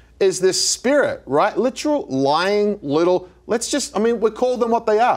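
Very wide pitch swings against a quiet background. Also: man. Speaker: show co-host, minister. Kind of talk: preaching talk-show chat. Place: studio. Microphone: lapel.

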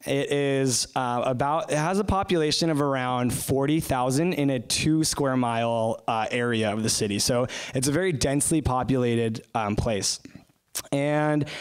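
Against a quiet background, a man speaks at a moderate pace with very even loudness. His pitch shows ordinary variation. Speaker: guest. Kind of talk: opening prayer, then sermon-style talk. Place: church. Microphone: handheld.

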